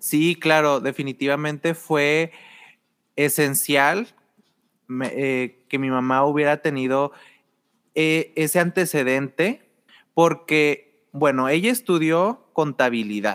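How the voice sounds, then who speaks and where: A man with a fairly high pitch and ordinary pitch variation speaks at a very slow pace, leaving long, frequent pauses, on a very clean recording with a silent background. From Mexico, Torreón (La Laguna). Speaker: art and design student. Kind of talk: casual chat.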